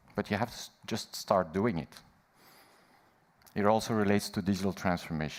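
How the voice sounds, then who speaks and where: Over a very clean recording with a silent background, a man with a fairly low pitch speaks in fairly even intonation, leaving long, frequent pauses. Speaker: management consultant at a conference. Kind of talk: conference keynote presentation. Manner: slow.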